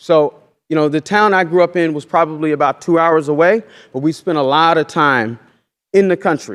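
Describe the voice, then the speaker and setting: A man talks at a moderate pace in a fairly high pitch with ordinary pitch variation. The recording is very clean, with a silent background. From Oklahoma. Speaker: farmer and educator. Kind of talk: lecture. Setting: stage with audience. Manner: loud.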